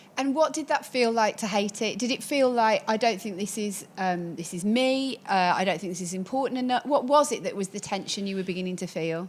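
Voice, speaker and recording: With a Birmingham accent, a woman talks at a fairly quick pace with lively intonation and hardly any pauses. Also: medium pitch for a woman. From England, Birmingham. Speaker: podcast host and coach. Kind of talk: podcast interview.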